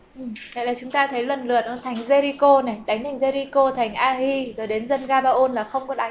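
The speech is monotone and flat at a moderate pace, with audible room echo and noticeable background noise. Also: woman, high pitch for a woman, hardly any pauses. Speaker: interpreter for Bible teacher. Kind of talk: consecutive interpretation of a Bible lecture.

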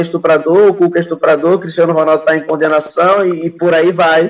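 The pace is very fast. A man speaks with a high pitch. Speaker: sports show host. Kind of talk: casual chat about football. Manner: informal, animated.

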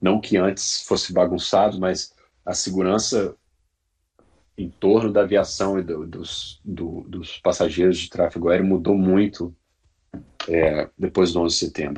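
The somewhat breathy voice moves at a fairly slow pace with monotone, flat intonation and long, frequent pauses. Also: man, very deep, low pitch for a man. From Brazil, Brasília region. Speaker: airline pilot. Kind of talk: interview.

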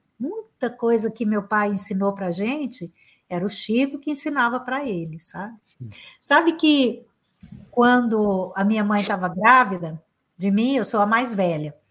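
A woman talks in a plain, everyday voice. Her pitch is fairly high and her intonation lively. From Brazil, Minas Gerais (Uberaba). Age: 50s. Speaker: psychotherapist and motivational speaker. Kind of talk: interview conversation.

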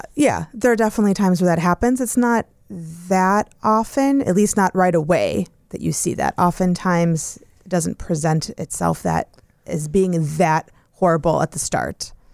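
A woman uses an ordinary speaking voice, fairly low in pitch, with lively intonation at a moderate pace. The sound is dry and close, without echo. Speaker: divorce attorney.

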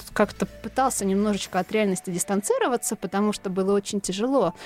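A woman at medium pitch, very fast pace, music in the background. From central Russia, Tula. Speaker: novelist. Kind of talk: interview. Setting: studio.

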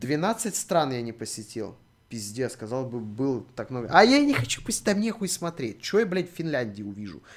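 A man is talking. His voice is medium in pitch. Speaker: streamer. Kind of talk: live stream chat. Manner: animated.

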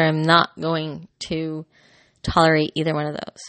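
A woman speaking at a moderate pace. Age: 40s. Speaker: podcaster. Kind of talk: personal monologue. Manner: hesitant, many fillers.

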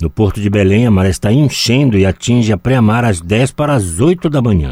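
With a fairly low pitch and lively intonation, a man talks at a moderate pace in an ordinary speaking voice, the sound dry and close with no echo. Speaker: weather and markets reader. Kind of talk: radio news reading.

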